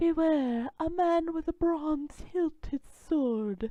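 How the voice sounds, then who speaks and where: Delivered very slowly, the voice is a put-on character act. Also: woman, extremely high pitch for a woman. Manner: mysterious.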